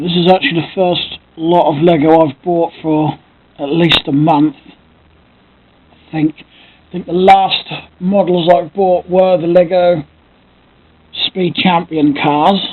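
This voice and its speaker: With an English accent, the speaker goes at a very slow pace, leaving long, frequent pauses. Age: 30s. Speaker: Lego collector and YouTuber. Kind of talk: casual vlog monologue. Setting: home, camera close to face. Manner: speaks loudly to compensate for camera; hesitant, many fillers. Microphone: built-in camera mic, quiet audio.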